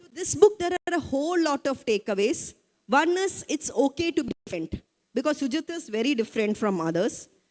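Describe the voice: A woman speaks at a fairly quick pace with few pauses, her high voice slightly mellow and making big pitch swings in a dry, close sound with no echo.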